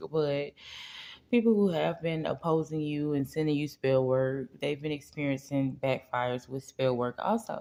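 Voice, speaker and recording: A woman speaks quietly at a fairly slow pace, her very deep, low voice having a dark, mellow tone. Her pitch varies in an ordinary way. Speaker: spiritual reader / tarot channel host. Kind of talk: casual direct-to-camera spiritual message. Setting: at home, kids asleep. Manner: speaking quietly.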